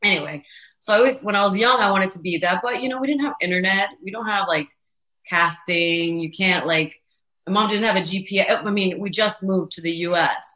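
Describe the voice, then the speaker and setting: Speaking at a fairly quick pace, a woman has a normal speaking voice, medium pitch and ordinary pitch variation. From Venezuela, then Florida from age eight. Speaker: social media comedian and voice creator. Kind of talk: casual interview chat.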